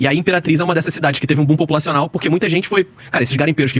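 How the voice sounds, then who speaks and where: This man speaks very fast, his fairly high pitch showing ordinary variation. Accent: Rio de Janeiro. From Rio de Janeiro, Brazil. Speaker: former sports TV producer. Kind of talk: podcast interview.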